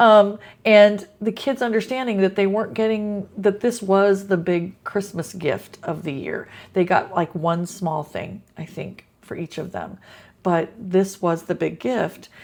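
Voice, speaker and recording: Here is a woman with a plain, everyday voice at a medium pitch. She goes at a fairly slow pace with ordinary pitch variation. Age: 60s. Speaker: teacher. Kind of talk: casual talk to camera.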